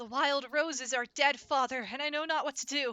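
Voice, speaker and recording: Delivered in a raised, projected voice, the put-on character voice moves at a fairly quick pace with fairly even intonation. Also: woman, high pitch for a woman. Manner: dramatic, solemn voice acting.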